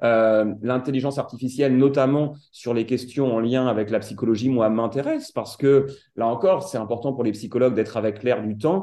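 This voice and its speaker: A man's dark, mellow voice at medium pitch, moderate pace and ordinary pitch variation. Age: 40s. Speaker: work psychologist. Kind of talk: interview.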